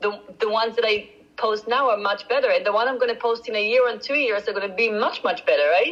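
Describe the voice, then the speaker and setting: Over noticeable background noise, a woman with a non-native accent speaks very fast at a fairly high pitch with ordinary pitch variation. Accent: foreign accent, noticeable. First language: not English. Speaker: nutritional coach. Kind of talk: interview conversation.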